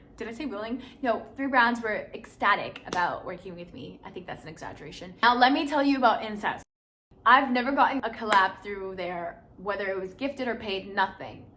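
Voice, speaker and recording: A woman speaks fairly quickly in a fairly high pitch, with an animated tone and lively intonation. Her loudness swings widely, and the room echo is audible. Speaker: lifestyle YouTuber and content creator. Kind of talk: casual vlog talk to camera. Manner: fast.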